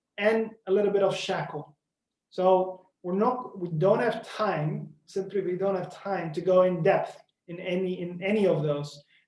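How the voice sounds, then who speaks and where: Moving at a moderate pace, this voice carries a non-native accent. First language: not English. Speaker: tech company presenter. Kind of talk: webinar presentation. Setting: online webinar. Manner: halting, frequent repetitions.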